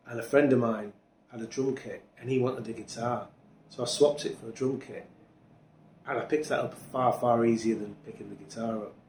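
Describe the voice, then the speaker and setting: Speaking with a Yorkshire accent, a man of medium pitch keeps a fairly quick pace and fairly even intonation while his loudness swings widely. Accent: Yorkshire (Hull) English. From Hull, East Yorkshire, England. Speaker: drummer. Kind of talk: interview.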